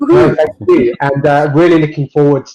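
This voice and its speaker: A man speaks with a southern English accent. His pace is moderate. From southern England, Berkshire. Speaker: tech executive and startup guest speaker. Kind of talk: online event presentation.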